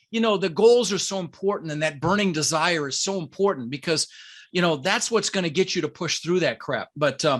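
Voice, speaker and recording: The man's voice is high in pitch and animated in tone. He talks at a fairly quick pace. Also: quiet background. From Denver, US (immigrated from the Netherlands at six). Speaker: real estate investor and coach. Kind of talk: podcast interview.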